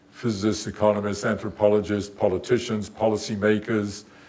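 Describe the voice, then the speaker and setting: A man with a fairly low pitch speaks at a moderate pace, with audible room echo. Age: 80s+. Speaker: theoretical physicist. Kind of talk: lecture. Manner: halting.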